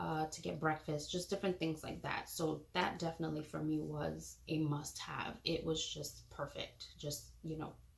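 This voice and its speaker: Soft-spoken, a woman talks at a moderate pace. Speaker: parenting vlogger. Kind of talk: product review vlog. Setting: home nursery. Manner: casual, filler words.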